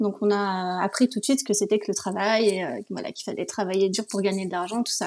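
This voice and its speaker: The voice belongs to a woman. She moves along at a fairly quick pace. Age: 30s. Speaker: guest sharing personal story. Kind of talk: testimony. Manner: hesitant, many fillers.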